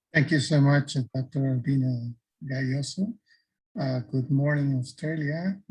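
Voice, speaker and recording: A man with a fairly high, somewhat breathy voice speaks at a fairly slow pace with ordinary pitch variation. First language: Spanish. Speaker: academic presenter. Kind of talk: conference presentation. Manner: halting.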